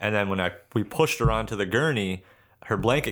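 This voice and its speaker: The background is silent and the recording very clean. A man talks at a fairly quick pace. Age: 20s. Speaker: podcast co-host. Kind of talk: casual chat.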